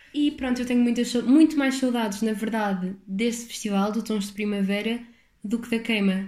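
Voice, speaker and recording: In a European Portuguese accent, a woman speaks at a moderate pace with a fairly high pitch and fairly even intonation. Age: 20s. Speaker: podcaster, university student. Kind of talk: casual solo podcast monologue.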